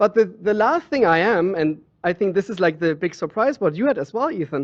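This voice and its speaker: In a German accent, a man speaks at a fairly quick pace and a high pitch with lively intonation. The sound is dry and close with no echo, over a quiet background. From Germany. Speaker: water sommelier. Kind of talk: interview.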